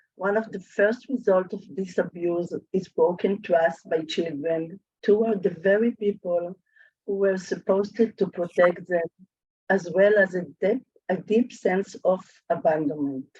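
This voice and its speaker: The sound is dry and close, with no echo. A woman speaks fairly slowly in a dark, mellow tone at medium pitch with ordinary pitch variation. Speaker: social worker. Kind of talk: webinar presentation.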